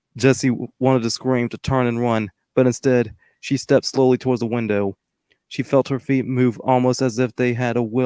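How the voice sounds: The voice is a natural reading voice. Nothing can be heard behind it.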